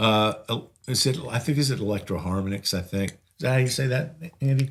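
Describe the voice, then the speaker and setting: At a fairly quick pace, a man talks in a medium pitch with a somewhat breathy quality. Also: ordinary pitch variation. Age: 60s. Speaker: singer-songwriter and guitarist. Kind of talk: casual interview chat. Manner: halting, many fillers.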